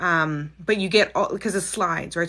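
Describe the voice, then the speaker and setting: A woman's voice has a fairly low pitch and a bright, sharp tone. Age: 40s. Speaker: psychic and spiritual mentor. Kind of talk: casual livestream chat. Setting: livestream. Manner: fast when excited.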